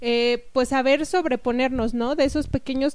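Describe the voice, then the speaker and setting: Her voice is high for a woman, with fairly even intonation. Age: 20s. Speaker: podcast co-host. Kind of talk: casual podcast introduction.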